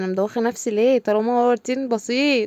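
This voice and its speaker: A woman talks at a fairly quick pace with fairly high pitch and ordinary pitch variation in a dark, mellow tone. The sound is dry and close, with no echo. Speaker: home vlogger. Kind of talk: casual vlog narration. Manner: chatty, halting.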